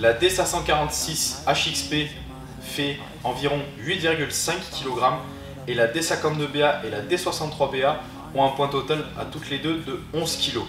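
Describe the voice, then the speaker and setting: A man speaks at a very slow pace, with long, frequent pauses and fairly even intonation. Noticeable background noise runs behind him. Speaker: shop salesman. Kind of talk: product presentation. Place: shop.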